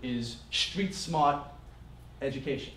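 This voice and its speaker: A man talks with a fairly high pitch. His pitch varies in an ordinary way, and the room echo is audible. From New Jersey. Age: 30s. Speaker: business workshop presenter. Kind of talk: business seminar talk to live audience. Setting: stage with audience.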